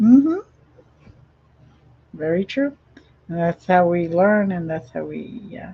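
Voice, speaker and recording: Fairly low-pitched, somewhat breathy and dark, mellow in tone, a woman speaks at a fairly slow pace with lively intonation, big swings in loudness and long, frequent pauses. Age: 60s. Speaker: talk show host. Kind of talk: interview. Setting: live streamed show.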